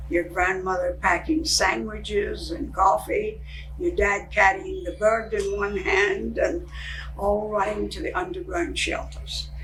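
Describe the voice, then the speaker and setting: Noticeable background noise and audible room echo fill the recording. A woman speaks at a fairly slow pace. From Scotland, Glasgow. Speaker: senior sharing life story. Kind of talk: oral history storytelling. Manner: conversational, with hesitations.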